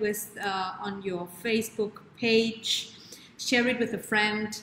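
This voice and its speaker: With audible room echo and light background noise, a woman speaks at a fairly slow pace with ordinary pitch variation. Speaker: show host, wellness coach. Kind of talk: live stream host chat. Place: home room. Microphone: webcam.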